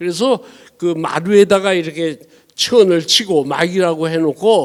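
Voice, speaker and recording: A man speaks at a fairly slow pace. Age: 80s+. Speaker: professor emeritus and theatre director. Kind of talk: public panel talk. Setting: stage with audience. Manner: halting, many fillers.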